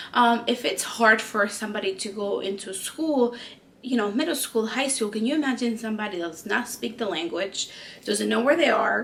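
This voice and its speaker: Through noticeable background noise, a woman with a Spanish accent talks at a moderate pace, her fairly high pitch moving with lively intonation. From Peru. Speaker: lifestyle vlogger. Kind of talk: personal storytelling vlog. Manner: hesitant, many fillers.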